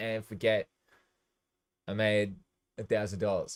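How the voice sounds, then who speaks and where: A man with an Australian accent. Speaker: DJ and music producer livestreamer. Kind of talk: casual livestream talk.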